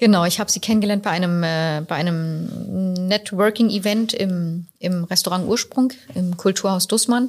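A woman speaks in a somewhat breathy voice with hardly any pauses. The recording is very clean, with a silent background. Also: medium pitch for a woman, ordinary pitch variation, moderate pace. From Berlin. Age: young. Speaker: restaurant owner. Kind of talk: podcast interview. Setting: in her restaurant.

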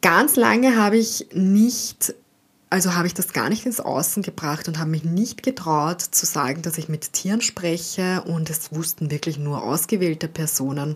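A woman's somewhat breathy voice with an Austrian accent, lively intonation and a moderate pace, on a very clean recording with a silent background. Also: fairly low pitch for a woman. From Austria, St. Pölten (Lower Austria). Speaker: animal communicator and podcast host. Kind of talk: personal monologue.

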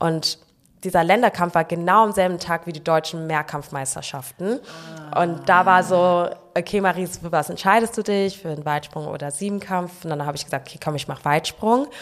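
In a normal speaking voice, a woman talks at a fairly low pitch and fairly quick pace, with ordinary pitch variation and big swings in loudness. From Frankfurt, Germany. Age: 20s. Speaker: long jumper. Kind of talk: casual interview chat.

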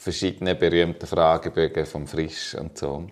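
At a fairly slow pace, a man with a Swiss accent talks with ordinary pitch variation. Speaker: podcast co-host. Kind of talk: casual chat.

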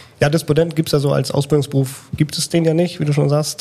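Fairly even intonation from a man, with noticeable background noise. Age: 30s. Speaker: train driver and instructor. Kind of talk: casual interview.

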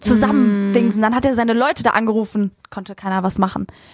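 This woman has an ordinary speaking voice with a fairly high pitch. She talks at a fairly quick pace. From Frankfurt, Germany. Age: 20s. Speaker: influencer. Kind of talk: casual chat.

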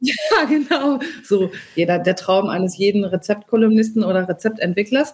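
A woman speaks at a moderate pace and medium pitch, her voice somewhat breathy. Her intonation is lively and her loudness very even. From rural Germany, small farming village. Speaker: recipe developer and food columnist. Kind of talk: casual chat.

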